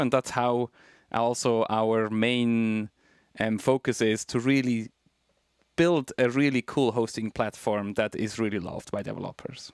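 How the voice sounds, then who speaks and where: A man with a Swiss German accent and fairly even intonation, on a very clean recording with a silent background. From Switzerland. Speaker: tech company co-founder. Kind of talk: interview.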